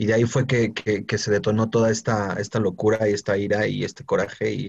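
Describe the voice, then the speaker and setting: In a Mexican accent, a man talks at a moderate pace with a fairly low pitch. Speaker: podcast co-host. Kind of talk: casual chat.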